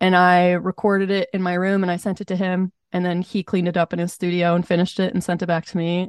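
An American accent from a woman at medium pitch, monotone and flat, very fast with hardly any pauses, dry and close with no echo, over a quiet background. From Montana. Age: 20s. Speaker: singer-songwriter. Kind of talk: casual interview.

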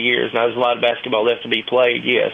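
A man at medium pitch, with noticeable background noise behind him. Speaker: college sports analyst. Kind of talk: sports talk interview.

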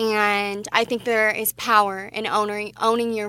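Over a silent background in a very clean recording, a woman with a Mountain West accent speaks in a flat monotone at medium pitch, her tone bright and sharp. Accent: General American (Mountain West). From Wyoming, Casper. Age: 20s. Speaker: pageant titleholder and boutique owner. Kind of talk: radio interview.

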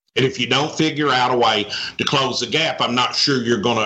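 Speaking at a fairly quick pace, a man with a Southern US accent talks at a medium pitch with fairly even intonation. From Arkansas. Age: 60s. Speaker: economic development executive. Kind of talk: interview.

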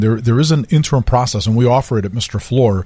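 A man at medium pitch, somewhat breathy, with ordinary pitch variation and a fairly quick pace. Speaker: flooring company executive. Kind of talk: expert advice on radio.

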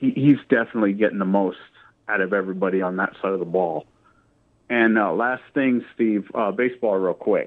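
Fairly brisk talking in a normal speaking voice, its pitch moving in an ordinary way. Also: man, fairly low pitch for a man. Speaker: caller. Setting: phone call.

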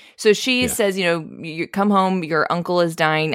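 A woman speaks at a moderate pace in an unremarkable speaking voice, fairly low in pitch, on a very clean recording with a silent background. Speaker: podcast co-host. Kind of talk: casual chat.

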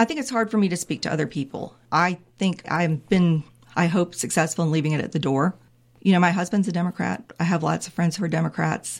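A woman with an American accent speaks at a fairly quick pace and a fairly low pitch. Her voice has vocal fry and ordinary pitch variation. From North Carolina (Raleigh, Wake County). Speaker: state supreme court justice. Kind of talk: interview.

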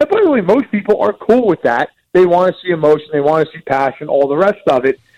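Hardly pausing, a man talks at a fairly quick pace in an animated tone. The sound is dry and close, with no echo. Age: 30s. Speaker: NFL writer. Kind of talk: casual sports chat.

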